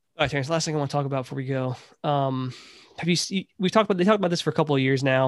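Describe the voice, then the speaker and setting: In a very clean recording with a silent background, a man with a fairly high pitch talks very fast with ordinary pitch variation. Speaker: podcast host. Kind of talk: casual sports banter podcast. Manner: animated, joking.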